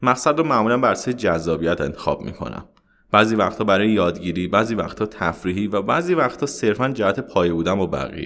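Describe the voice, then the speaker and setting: Over a silent background on a very clean recording, a man with a fairly low pitch talks at a very fast pace with lively intonation. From Iran. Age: 30s. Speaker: traveler and former mechanical engineer. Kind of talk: interview.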